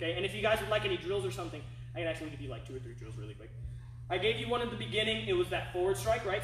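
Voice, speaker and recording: Noticeable background noise and audible room echo surround a man talking at a very fast pace. His loudness swings widely. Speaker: martial arts instructor. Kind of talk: online class tutorial.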